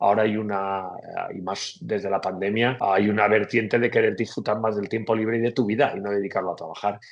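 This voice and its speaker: A man at a fairly quick pace, with monotone, flat intonation and hardly any pauses. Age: 40s. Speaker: economist. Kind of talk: interview. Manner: hesitant, with fillers.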